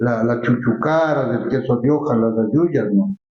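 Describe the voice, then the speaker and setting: Audible room echo around a man's voice with ordinary pitch variation. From Ecuador, Latacunga (Andean highlands). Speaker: cultural figure, former festival honoree. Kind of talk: interview conversation. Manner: halting, frequent repetitions.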